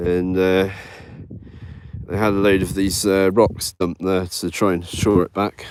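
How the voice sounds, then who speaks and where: Monotone, flat intonation at a fairly slow pace. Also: man. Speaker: vlogger. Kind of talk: casual vlog talk. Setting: outdoors, beach walk. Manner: hesitant, many fillers.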